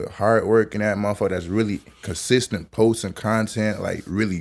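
With monotone, flat intonation, a man talks at a fairly quick pace in a fairly low pitch. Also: very clean recording, silent background. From Georgia and Buffalo, New York. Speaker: rapper. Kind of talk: casual interview.

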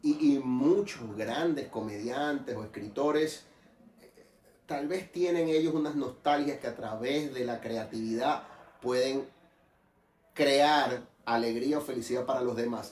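A man at a medium pitch and fairly slow pace, with ordinary pitch variation and audible room echo. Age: 40s. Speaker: podcast host. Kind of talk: casual interview. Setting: wine store.

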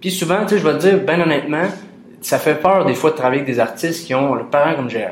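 Talking very fast in a Quebec accent, a man with a fairly high pitch and ordinary pitch variation is heard over noticeable background noise and audible room echo. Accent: Québécois French. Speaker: podcast host. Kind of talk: casual interview.

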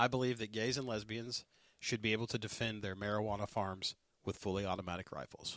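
On a very clean recording with a silent background, a man with a Southern US accent and a fairly low pitch talks at a very fast pace in a monotone, flat delivery. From US South. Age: 40s. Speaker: podcast host and firefighter. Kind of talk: casual chat. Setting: studio.

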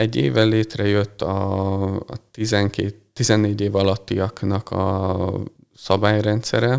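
At a very slow pace, a man speaks with fairly low pitch and fairly even intonation. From Hungary, Balassagyarmat. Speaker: physiotherapist and techball coach. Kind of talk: interview. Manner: hesitant, many fillers.

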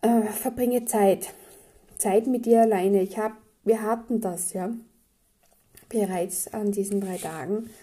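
Very slowly and with long, frequent pauses, a woman speaks in a fairly high, somewhat breathy voice with a dark, mellow tone. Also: fairly even intonation. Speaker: spiritual podcast host. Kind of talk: daily spiritual guidance monologue. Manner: casual, chatty.

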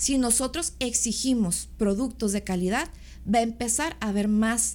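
A woman talks at a fairly slow pace, keeping her loudness very even. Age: 30s. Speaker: bodybuilding competitor and architect. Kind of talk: casual interview chat.

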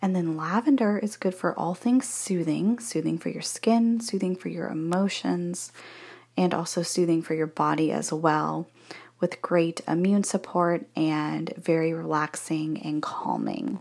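Soft-spoken and fairly slow, a woman talks in a fairly low pitch. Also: ordinary pitch variation. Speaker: essential oil seller and podcaster. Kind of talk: sales pitch. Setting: bathroom at in-laws' house. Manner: casual.

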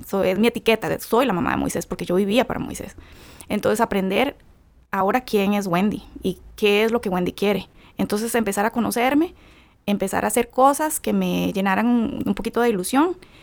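A woman with a Costa Rican accent, fairly high pitch and vocal fry, fairly quick, with ordinary pitch variation. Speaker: bereaved mother. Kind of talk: testimony.

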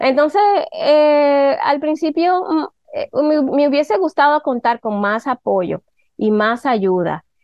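This woman talks very slowly, her high pitch moving in very wide swings. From Dominican Republic. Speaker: digital marketing strategist and photographer. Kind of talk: casual chat.

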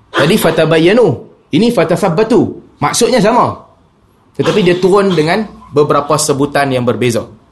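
Speaking at a fairly quick pace yet pausing long and often, a man with a high pitch keeps his loudness very even amid audible room echo. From Penang, Malaysia. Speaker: Islamic preacher. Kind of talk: religious lecture.

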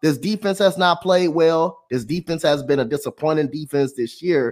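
Lively intonation marks a man's high-pitched speech. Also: very clean recording, silent background. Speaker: sports podcast co-host. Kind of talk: sports radio rant. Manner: animated, repetitive, emphatic; opinionated, declarative.

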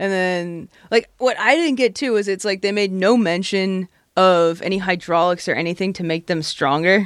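A woman's normal speaking voice at medium pitch and moderate pace, with ordinary pitch variation, in a very clean recording with a silent background. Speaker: comedian. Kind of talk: casual chat.

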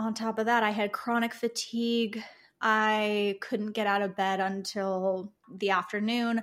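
A woman's fairly high, monotone voice with flat intonation and very even loudness, in an American accent at a fairly slow pace, on a very clean recording with a silent background. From US Midwest, Chicago. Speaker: herbalist and alternative health practitioner. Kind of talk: casual interview chat.

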